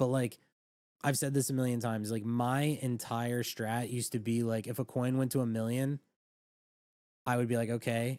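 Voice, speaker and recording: This man's voice has a dark, mellow tone and medium pitch. He speaks at a moderate pace with monotone, flat intonation. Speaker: crypto trading livestreamer. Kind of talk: casual livestream chat. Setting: livestream.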